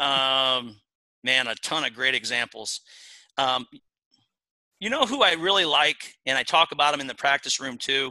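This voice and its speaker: A man's bright, sharp, medium-pitched voice with a Midwestern US accent, a moderate pace with long, frequent pauses, ordinary pitch variation and a dry, close sound with no echo. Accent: US Midwest. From Iowa. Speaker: college wrestling coach. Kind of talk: interview.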